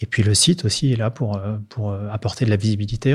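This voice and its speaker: In a very clean recording with a silent background, a man at medium pitch talks at a moderate pace with fairly even intonation and a somewhat breathy sound. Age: 50s. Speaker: marketing director. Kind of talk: interview.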